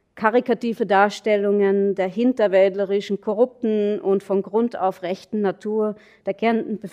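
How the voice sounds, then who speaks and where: A woman at medium pitch and moderate pace, her dark, mellow tone and fairly even intonation heard dry and close with no echo. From Austria, Carinthia (Nockberge). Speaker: anthropologist. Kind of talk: academic lecture. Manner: hesitant, many fillers.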